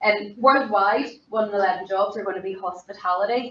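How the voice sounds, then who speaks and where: A woman's medium-pitched voice in a Belfast accent, with fairly even intonation at a moderate pace. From Northern Ireland, East Belfast. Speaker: hospitality professional, keynote speaker. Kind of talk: conference keynote presentation. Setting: conference forum. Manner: informal, conversational.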